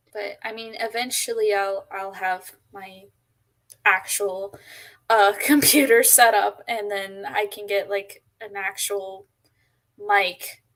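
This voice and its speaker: A woman at a very slow pace, her intonation fairly even but her loudness swinging widely. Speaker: co-host of chat stream. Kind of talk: casual chat. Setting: live stream. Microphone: cheap mic.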